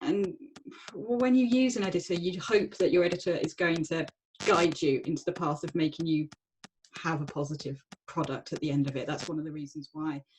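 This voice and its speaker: A woman with a southern English accent speaks at a fairly quick pace in a fairly low voice with lively intonation. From southern England, Surrey. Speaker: author. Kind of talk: panel discussion.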